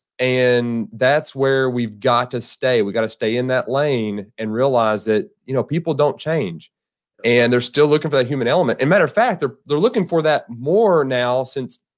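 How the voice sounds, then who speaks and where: An unremarkable speaking voice comes from a man with medium pitch, ordinary pitch variation and a moderate pace, on a very clean recording with a silent background. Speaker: podcast host. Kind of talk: interview.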